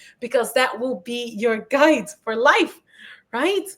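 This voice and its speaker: Speech comes at a fairly slow pace with a non-native accent. The pitch swings very widely. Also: woman. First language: not English. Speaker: live stream host. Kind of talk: casual chat. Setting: live stream.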